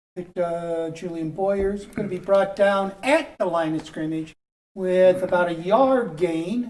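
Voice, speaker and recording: A woman's normal speaking voice at medium pitch, with ordinary pitch variation, a fairly slow pace and big swings in loudness. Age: 60s. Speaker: football commentator. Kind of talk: live commentary.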